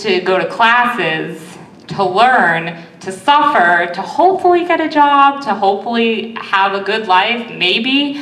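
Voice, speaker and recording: With lively intonation, a woman speaks amid noticeable background noise and audible room echo. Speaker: college student comedian vlogger. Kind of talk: stand-up.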